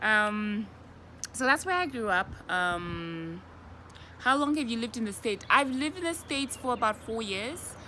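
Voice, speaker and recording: In a Namibian accent, a woman speaks at a moderate pace with lively intonation and a bright, sharp tone at a fairly high pitch. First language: Oshiwambo. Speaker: vlogger. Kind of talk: casual chat. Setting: outdoors.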